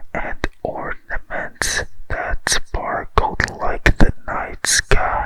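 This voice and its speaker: A man whispering at a very slow pace, with noticeable background noise. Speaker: ASMR storyteller. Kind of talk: bedtime story reading. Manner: slow, soft-spoken.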